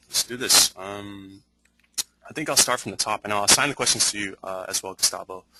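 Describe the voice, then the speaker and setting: A man with a fairly low pitch and a bright, sharp tone speaks with big swings in loudness. The sound is dry with no echo, though loud background noise is present. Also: ordinary pitch variation, fairly quick pace. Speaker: webinar host. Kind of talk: live Q&A moderation. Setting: online webinar. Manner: stuttering, hesitant. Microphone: video call.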